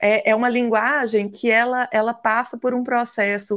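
A woman talks at a fairly slow pace in a high pitch. The background is quiet. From Brazil, Minas Gerais. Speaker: physical education teacher and equine therapist. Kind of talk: interview.

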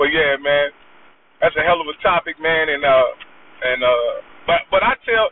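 The intonation is lively. The pace is fairly slow. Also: man. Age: 40s. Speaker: caller. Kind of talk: casual chat.

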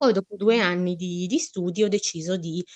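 The voice holds a fairly even intonation, with a dry, close sound with no echo. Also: woman. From northern Italy. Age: 20s. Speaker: fashion designer. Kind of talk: interview. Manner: halting.

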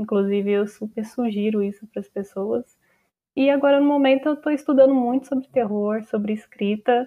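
At a moderate pace, a woman with a fairly high pitch talks in a plain, everyday voice with ordinary pitch variation. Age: 20s. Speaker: writer and social media content creator. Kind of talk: casual interview.

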